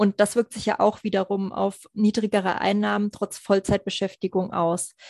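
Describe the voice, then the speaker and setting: A woman with an ordinary speaking voice and fairly even intonation is heard against a quiet background, the sound dry and close with no echo. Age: 20s. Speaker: psychologist and finance coach. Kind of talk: podcast interview.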